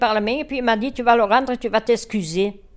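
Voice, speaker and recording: A woman talks very fast in a high pitch with lively intonation. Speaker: elderly woman sharing childhood memories. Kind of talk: storytelling reminiscence. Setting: indoors, home living room.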